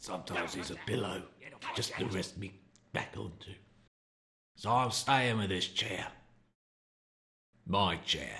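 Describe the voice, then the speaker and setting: A man speaks in a cartoonish character voice at a fairly low pitch. He leaves long, frequent pauses. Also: moderate pace. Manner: gruff, resentful.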